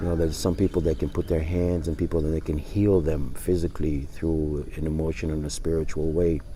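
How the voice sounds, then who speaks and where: A man's very deep, low voice, somewhat breathy and dark and mellow in tone, at a fairly quick pace. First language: not English. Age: 60s. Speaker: life coach. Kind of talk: casual vlog monologue. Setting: outdoors. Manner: halting.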